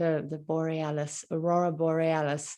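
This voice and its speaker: In a very clean recording with a silent background, a woman with a slight German accent speaks at a fairly slow pace. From Germany. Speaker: podcast host. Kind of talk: interview. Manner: halting.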